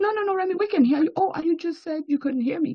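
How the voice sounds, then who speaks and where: With a strong Nigerian accent, a woman speaks at a high pitch in an animated tone with lively intonation. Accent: Nigerian accent, still strong. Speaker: banking executive and diplomat. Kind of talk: interview testimony.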